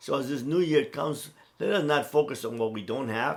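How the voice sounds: The man talks at a moderate pace in a medium pitch, his intonation lively.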